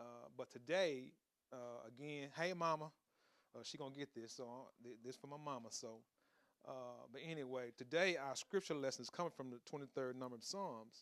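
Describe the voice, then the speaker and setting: A man of medium pitch speaks at a moderate pace, with ordinary pitch variation and big swings in loudness. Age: 40s. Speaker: preacher. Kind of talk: sermon. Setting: home recording, holding a handheld mic.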